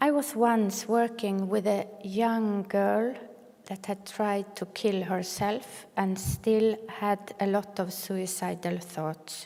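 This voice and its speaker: A woman speaks at a very slow pace with a Norwegian accent, her medium-pitched voice keeping a fairly even intonation. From northern Norway. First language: Sami or Norwegian. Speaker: clinical social worker, keynote speaker. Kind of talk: keynote speech. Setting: conference stage with audience. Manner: some hesitations and repetitions.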